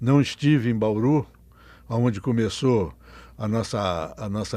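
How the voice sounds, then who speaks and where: In a very clean recording with a silent background, a man speaks. His medium-pitched voice has a dark, mellow tone and ordinary pitch variation. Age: 80s+. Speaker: mental health activist. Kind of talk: interview testimony. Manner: halting, repeats words.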